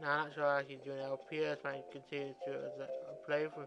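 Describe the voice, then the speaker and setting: Music plays in the background as a man with a fairly high voice speaks at a moderate pace. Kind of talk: casual gameplay commentary. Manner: halting, with pauses and mix-ups.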